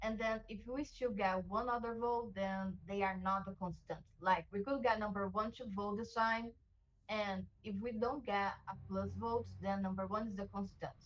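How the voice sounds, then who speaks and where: Speaking at a moderate pace with a non-native accent, a woman has a medium pitch, a somewhat breathy sound and fairly even intonation. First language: not English. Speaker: online game player. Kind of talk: casual chat.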